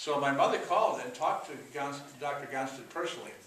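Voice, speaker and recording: There is noticeable background noise and audible room echo. Through it, a man talks at a moderate pace. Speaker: chiropractor and author. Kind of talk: conference talk.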